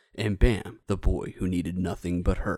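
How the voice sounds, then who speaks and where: A man's put-on character voice, very deep and low, with a dramatic tone and a moderate pace. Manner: dramatic, epic.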